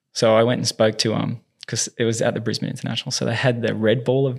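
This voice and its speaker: A man's voice with vocal fry, in an Australian accent. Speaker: movement specialist and tennis coach. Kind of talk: casual interview chat.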